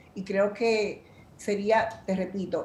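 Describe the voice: Audible room echo surrounds a woman's medium-pitched voice with a dark, mellow tone.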